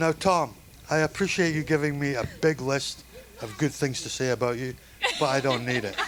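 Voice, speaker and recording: Noticeable background noise sits behind a man with a fairly high pitch. He talks at a moderate pace with ordinary pitch variation. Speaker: father of the bride. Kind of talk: wedding toast speech. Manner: halting.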